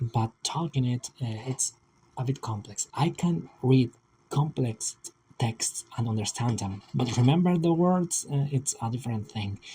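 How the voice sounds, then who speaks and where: A man with a medium pitch talks fairly slowly, with ordinary variation in his pitch. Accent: non-native. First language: not English. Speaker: aspiring vtuber, digital artist. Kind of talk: casual video monologue. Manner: halting, many repetitions and fillers. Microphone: old laptop, poor audio quality.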